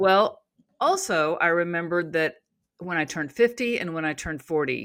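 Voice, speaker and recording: A woman with an American accent and a plain, everyday voice speaks at a moderate pace and a fairly low pitch, with lively intonation. The recording is very clean, with a silent background. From Oklahoma. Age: 60s. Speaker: author and natural health coach. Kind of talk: interview conversation. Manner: casual, with frequent fillers.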